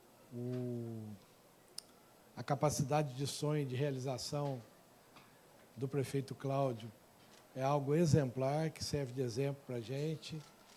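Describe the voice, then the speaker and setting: A man's somewhat breathy, dark, mellow tone at medium pitch, monotone and flat in intonation, at a fairly slow pace with long, frequent pauses. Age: 60s. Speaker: mayor and professor giving a talk. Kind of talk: public lecture.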